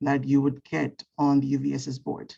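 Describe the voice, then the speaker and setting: A woman's very deep, low voice with a dark, mellow tone, vocal fry, and a fairly slow pace. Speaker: undergraduate student, student board member. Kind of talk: public comment at a meeting.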